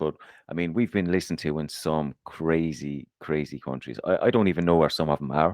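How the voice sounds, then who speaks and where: A man with an Irish accent and a very deep, low pitch talks at a fairly quick pace with ordinary pitch variation, in a very clean recording with a silent background and a dry, close sound with no echo. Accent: Irish, harsh. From Ireland, Waterford. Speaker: podcast co-host. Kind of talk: casual chat.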